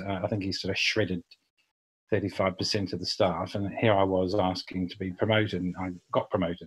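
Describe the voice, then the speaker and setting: On a very clean recording with a silent background, a man with a New Zealand accent talks at a very fast pace in a very deep, low pitch, monotone and flat, somewhat breathy. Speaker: public relations agency founder. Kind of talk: podcast interview.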